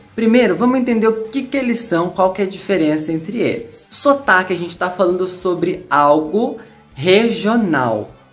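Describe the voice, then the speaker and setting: Music plays in the background as a man speaks at a high pitch with lively intonation. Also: moderate pace. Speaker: English teacher. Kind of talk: casual talk to camera.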